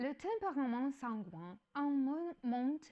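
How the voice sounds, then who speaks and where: Speaking with a non-native accent, a woman with a high pitch talks at a very slow pace with lively intonation. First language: not French (speaking French). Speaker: educational YouTuber. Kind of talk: explanatory talk. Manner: halting, with self-corrections.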